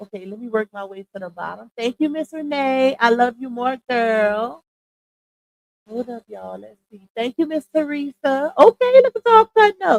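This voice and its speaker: At a moderate pace, a high-pitched woman talks with lively intonation and big swings in loudness, the sound dry and close with no echo. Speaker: livestream commentary host. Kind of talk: casual live stream chat. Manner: animated.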